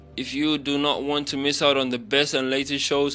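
Speaking at a moderate pace, a man uses a bright, sharp tone at a fairly high pitch. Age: 20s. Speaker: radio DJ. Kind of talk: casual radio talk show.

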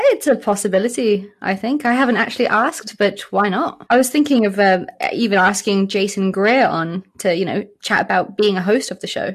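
The speaker has a British accent. They talk with hardly any pauses. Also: woman, medium pitch for a woman, ordinary pitch variation, moderate pace. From South Africa. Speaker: podcast co-host. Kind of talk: interview.

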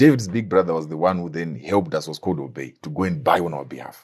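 Over a quiet background, a man with a very deep, low pitch and vocal fry talks at a very fast pace with very wide pitch swings. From Zimbabwe. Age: 30s. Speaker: entrepreneur. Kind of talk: interview.

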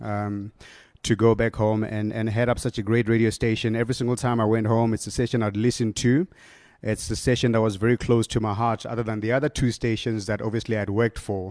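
A man with a South African accent talks at a very fast pace over a quiet background. His medium pitch stays in a monotone, flat intonation. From South Africa, Limpopo. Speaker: radio station manager. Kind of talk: conference talk. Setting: stage with audience. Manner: halting, many repetitions.

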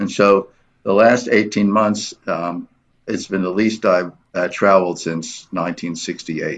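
Over a quiet background, a man with an American accent speaks at a very slow pace, his pitch fairly low and his intonation fairly even. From US, New York City. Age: 70s. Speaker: photographer and artist. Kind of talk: radio interview. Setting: studio. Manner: halting.

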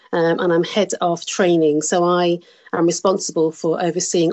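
Speaking at a moderate pace, a woman with a Birmingham accent has a fairly low voice. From Birmingham, England. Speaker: bereaved mother. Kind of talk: interview.

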